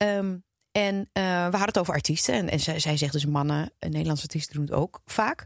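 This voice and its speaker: A woman speaks at a fairly quick pace with very wide pitch swings. The sound is dry and close, with no echo. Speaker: podcast co-host. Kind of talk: casual chat.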